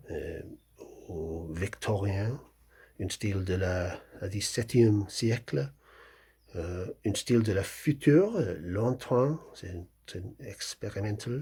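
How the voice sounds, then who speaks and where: A man with a strong English accent speaks very slowly, with long, frequent pauses, big swings in loudness and lively intonation, his fairly low voice dark, mellow and somewhat breathy. The recording is very clean, with a silent background. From England. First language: English (speaking French). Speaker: novelist. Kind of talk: author presenting his book. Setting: video recording, wearing a hat. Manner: halting, many hesitations and repetitions.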